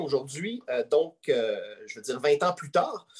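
A man speaking at a moderate pace. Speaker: podcast host. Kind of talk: interview.

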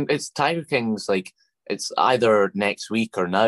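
With a dry, close sound and no echo, a man with a fairly low pitch talks at a moderate pace using lively intonation. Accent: Scottish. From Scotland. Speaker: TikTok creator and comedian. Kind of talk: casual interview.

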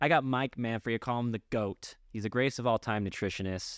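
A man with a normal speaking voice talks at a fairly quick pace and fairly low pitch. The recording is very clean, with a silent background and a dry, close sound with no echo. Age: 30s. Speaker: podcast host. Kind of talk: casual chat.

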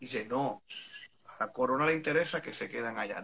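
A man with a plain, everyday voice talks at a fairly high pitch with ordinary pitch variation. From Puerto Rico, San Juan metro area. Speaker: historian and songwriter. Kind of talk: casual history discussion on a live stream. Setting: live online video stream.

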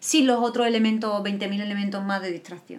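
A woman with a fairly high pitch at a fairly quick pace. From Andalusia, Spain. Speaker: podcast co-host. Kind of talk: casual chat.

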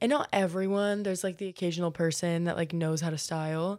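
A woman speaks with an American accent at a medium pitch. Her intonation stays fairly even. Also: very clean recording, silent background. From US South, Florida (Marco Island). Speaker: podcast host. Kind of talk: casual monologue. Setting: in bed.

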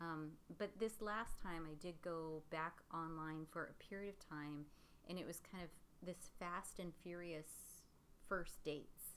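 A woman with a normal speaking voice talks at a fairly low pitch. Her pace is fairly slow and her intonation fairly even. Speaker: podcast host. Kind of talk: casual chat.

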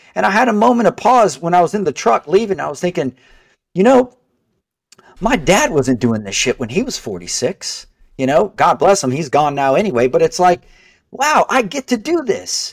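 Very wide pitch swings at a moderate pace. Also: man, high pitch for a man, dry, close sound with no echo. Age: 40s. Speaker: mortgage broker. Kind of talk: casual chat.

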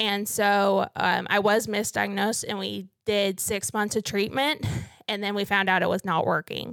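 On a very clean recording with a silent background, a woman with an American accent speaks at a moderate pace and medium pitch, with vocal fry and fairly even intonation. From northern Missouri. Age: 20s. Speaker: PhD student and cancer patient. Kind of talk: interview testimony.

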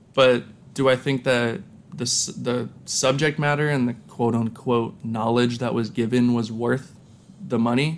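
Here is a plain, everyday voice: a man with an American accent at medium pitch. He talks at a fairly slow pace with ordinary pitch variation. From US, central Pennsylvania (Lancaster). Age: 20s. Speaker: kickboxer and fashion designer. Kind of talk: casual interview chat.

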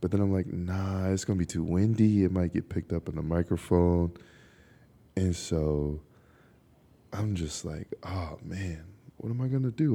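Here a man speaks with a very deep, low pitch and ordinary pitch variation. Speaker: podcaster. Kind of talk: casual monologue. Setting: outdoors in a park. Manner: laid-back, laughing often.

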